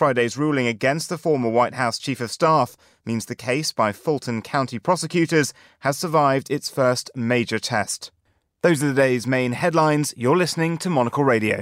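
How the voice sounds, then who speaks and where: A man's medium-pitched, normal speaking voice with ordinary pitch variation at a moderate pace, in a very clean recording with a silent background and a dry, close sound free of echo. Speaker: radio host. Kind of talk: live radio presenting, formal newsreading for headlines. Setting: studio. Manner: formal, crisp and steady newsreader delivery; polished, measured, businesslike pace.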